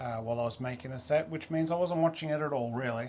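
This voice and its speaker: Here is a man with an Australian accent. His medium pitch shows ordinary variation. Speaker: toy review YouTuber. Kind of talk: product review. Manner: casual, chatty.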